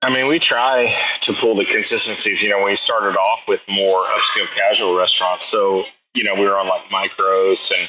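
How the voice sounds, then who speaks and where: A man with a Texan accent talks at a moderate pace, keeping his loudness very even. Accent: Texan American. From Houston, Texas. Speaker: chef and restaurateur. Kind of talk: interview conversation. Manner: casual, hesitant with fillers.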